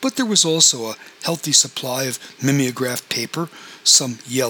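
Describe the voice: Lively intonation in plain reading aloud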